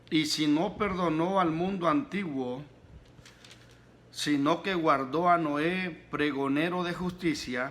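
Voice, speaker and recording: A man with a fairly high pitch and ordinary pitch variation speaks at a very slow pace, leaving long, frequent pauses. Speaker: pastor, preacher. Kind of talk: sermon, preaching.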